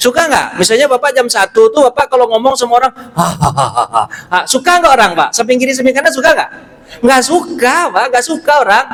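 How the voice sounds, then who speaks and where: Speaking in a West Sumatran accent at a fairly quick pace, a man with an extremely high pitch uses lively intonation and an animated tone, keeping his loudness very even despite noticeable background noise. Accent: Pariaman Minang. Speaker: Islamic preacher. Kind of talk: sermon. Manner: animated, conversational with audience.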